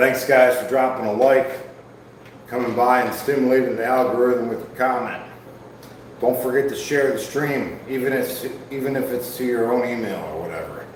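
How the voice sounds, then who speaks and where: A man with a Midwestern US accent speaks at a medium pitch and a moderate pace, with fairly even intonation. Noticeable background noise and audible room echo are present. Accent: US Midwest. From Ohio. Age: 40s. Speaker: fitness streamer. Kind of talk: livestream workout chat. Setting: live stream. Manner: casual.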